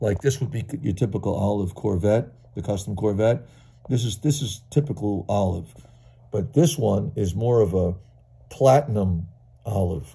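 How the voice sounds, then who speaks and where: At a moderate pace, a man with a fairly low pitch and a dark, mellow, somewhat breathy tone uses lively intonation and takes long, frequent pauses. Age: 60s. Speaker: toy car collector. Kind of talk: video show-and-tell. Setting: at home. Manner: enthusiastic. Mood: enthusiastic, admiring. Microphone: phone near.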